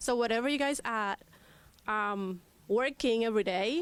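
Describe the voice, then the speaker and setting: Her pitch shows ordinary variation. The woman talks at a fairly slow pace. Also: very clean recording, silent background. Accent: Spanish. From Cuba. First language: Spanish. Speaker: immigrant rights advocate. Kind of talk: panel talk. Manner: hesitant, many fillers.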